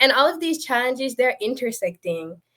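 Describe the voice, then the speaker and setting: A woman speaks with a Jamaican accent at a moderate pace. Her tone is bright and sharp. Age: 20s. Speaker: panelist. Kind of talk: panel discussion. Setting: online live stream.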